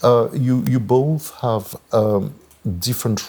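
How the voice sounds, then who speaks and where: The voice belongs to a man. Noticeable background noise runs underneath. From France. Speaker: moderator. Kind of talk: panel moderation.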